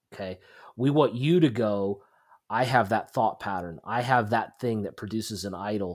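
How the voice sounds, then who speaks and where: In a normal speaking voice, a fairly low-pitched man talks at a moderate pace on a very clean recording with a silent background. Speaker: podcast co-host, Bible teacher. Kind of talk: religious discussion.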